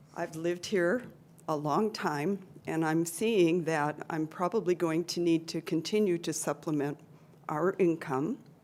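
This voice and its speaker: A woman with a normal speaking voice, fairly low in pitch, at a fairly slow pace with ordinary pitch variation. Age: 60s. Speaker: resident giving public comment. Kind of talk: public comment at city council meeting.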